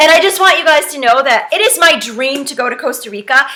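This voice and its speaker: A woman's raised, projected voice, high in pitch, at a very fast pace with lively intonation, against noticeable background noise. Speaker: direct sales trainer. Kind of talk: tutorial. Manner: casual, chatty.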